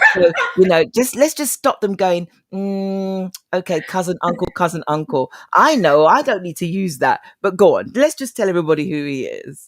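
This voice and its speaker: A woman speaks with a London accent and very wide pitch swings. The sound is dry and close with no echo. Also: medium pitch for a woman, moderate pace, very clean recording, silent background. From East London. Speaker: talk show host. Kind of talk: interview.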